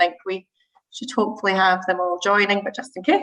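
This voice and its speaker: With a Scottish accent, a woman talks at a very fast pace in a medium pitch. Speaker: primary school teacher. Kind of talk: school presentation to parents. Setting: video call.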